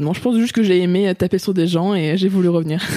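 At a very fast pace, a woman talks in a dark, mellow tone. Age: 20s. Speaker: amateur kickboxer. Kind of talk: casual interview.

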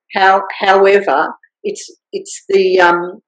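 The speaker has an Australian accent and a very slow pace. Pitch variation is ordinary. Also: woman. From rural Victoria, Australia. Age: 60s. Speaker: vocational educator and former film director. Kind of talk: interview.

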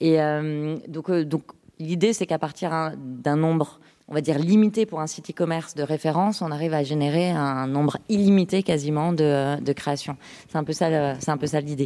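A woman talks at a moderate pace in a very deep, low, dark and mellow voice with fairly even intonation. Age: 30s. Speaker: startup co-founder. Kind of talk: interview.

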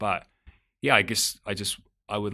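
A man speaks with an Australian accent and a bright, sharp tone. The recording is very clean, with a silent background. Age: 30s. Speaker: music executive. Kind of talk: interview. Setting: office.

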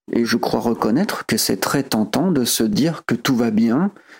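Very slowly, a man speaks in a very clean recording with a silent background. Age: 40s. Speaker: home care aide. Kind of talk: personal audio diary.

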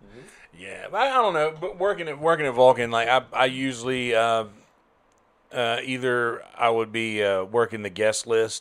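At a moderate pace, a man with an unremarkable speaking voice talks at a medium pitch, with ordinary pitch variation and big swings in loudness. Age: 30s. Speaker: comedian and musician. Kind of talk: casual chat.

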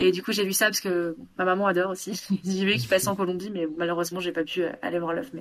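With fairly even intonation, a woman talks fairly quickly at a medium pitch. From France, Bordeaux area. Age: 20s. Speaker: podcast guest. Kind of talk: casual chat. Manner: halting.

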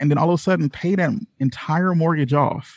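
A man speaks with ordinary pitch variation, the sound dry and close with no echo. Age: 30s. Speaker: entrepreneur and YouTuber. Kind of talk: casual interview. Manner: halting, many fillers.

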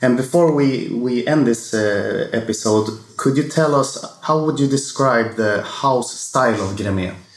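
A man with a Swedish accent speaks at a medium pitch and a fairly slow pace, with ordinary pitch variation and hardly any pauses. Audible room echo and noticeable background noise surround him. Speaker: wine podcast host. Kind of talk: casual monologue; interview.

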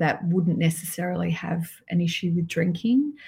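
Somewhat breathy, a woman with an Australian accent is heard on a very clean recording with a silent background. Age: 50s. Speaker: alcohol mindset coach. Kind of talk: podcast interview.

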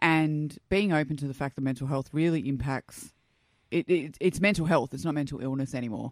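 Someone with an Australian accent speaks at a fairly quick pace, the recording very clean with a silent background and a dry, close sound with no echo. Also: woman, very deep, low pitch for a woman, ordinary pitch variation. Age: 30s. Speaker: guest sharing her story. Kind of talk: casual interview chat. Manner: outgoing, loud, upbeat.

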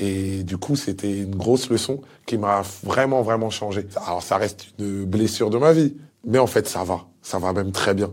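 A man talks in a normal speaking voice at a moderate pace. His pitch is fairly low, with ordinary variation. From DR Congo (Kinshasa), moved to France around age 10. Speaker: guest telling a life story. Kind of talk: personal testimony.

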